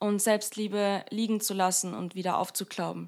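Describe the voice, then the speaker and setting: On a very clean recording with a silent background, a woman speaks at a moderate pace with monotone, flat intonation. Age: 20s. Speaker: podcast host. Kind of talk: personal monologue podcast. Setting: home recording room.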